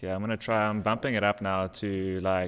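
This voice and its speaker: On a very clean recording with a silent background, a man speaks slowly-ish, at a fairly slow pace, in a very deep, low pitch. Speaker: digital painter streaming live. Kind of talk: live stream commentary while painting.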